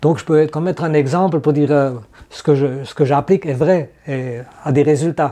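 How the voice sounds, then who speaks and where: In a dark, mellow tone, a man keeps fairly even intonation while his loudness swings widely. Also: fairly high pitch for a man. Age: 70s. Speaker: cartoonist and activist. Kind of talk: interview. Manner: halting, many fillers.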